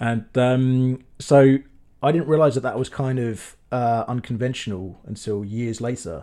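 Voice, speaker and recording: With a southern English accent, a man talks at a fairly slow pace. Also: medium pitch for a man, fairly even intonation. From southern England. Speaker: film director. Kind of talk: casual chat.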